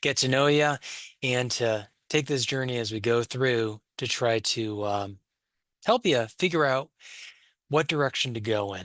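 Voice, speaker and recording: Against a quiet background, a man with an ordinary speaking voice talks at a moderate pace and medium pitch with ordinary pitch variation. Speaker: college instructor. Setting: wearing a headset microphone. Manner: welcoming, conversational.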